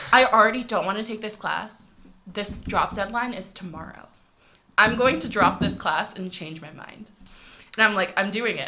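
Against noticeable background noise, a woman speaks with ordinary pitch variation and big swings in loudness. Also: medium pitch for a woman, moderate pace. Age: 20s. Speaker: accounting grad student. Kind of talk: casual interview chat.

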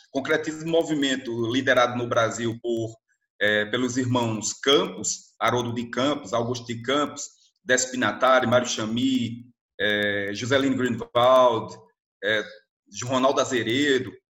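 An unremarkable speaking voice: a man of medium pitch, fairly even intonation, and a fairly slow pace. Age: 40s. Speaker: literature teacher. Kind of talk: educational talk. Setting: remote recording.

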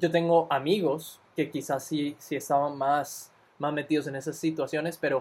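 A plain, everyday voice from a man, fairly high-pitched, with fairly even intonation at a moderate pace. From Costa Rica. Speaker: podcast co-host, recent university graduate. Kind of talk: casual chat.

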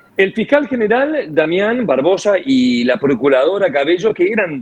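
A man's voice with very wide pitch swings. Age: 60s. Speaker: radio host. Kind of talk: radio talk show discussion. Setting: radio studio.

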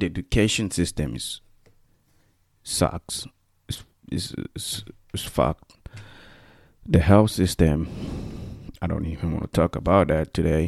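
A man talks in a very deep, low voice with vocal fry at a fairly slow pace. Long, frequent pauses break up his ordinary pitch variation in a dry, close sound with no echo. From Equatorial Guinea. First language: Spanish. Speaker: podcast host. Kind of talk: casual monologue, solo podcast talk. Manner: halting, many fillers and restarts.

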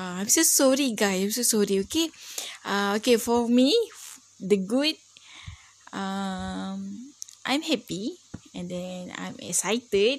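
Speaking in a Malaysian accent, a woman at medium pitch uses lively intonation and big swings in loudness, talking at a very slow pace with long, frequent pauses. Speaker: university student. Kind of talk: class assignment monologue. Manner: halting.

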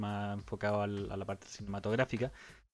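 In a very clean recording with a silent background, a man with an unremarkable speaking voice speaks at a moderate pace and a fairly low pitch. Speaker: podcast co-host. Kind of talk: casual chat.

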